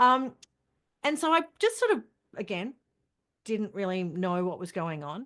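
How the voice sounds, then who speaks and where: Against a quiet background, a woman speaks in an Australian accent at a medium pitch. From Australia, country Queensland. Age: 50s. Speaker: journalist and women's health advocate. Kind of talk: interview.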